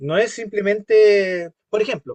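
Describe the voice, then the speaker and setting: This man speaks with a Chilean accent and a high pitch. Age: 60s. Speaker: course instructor. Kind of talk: interactive class discussion.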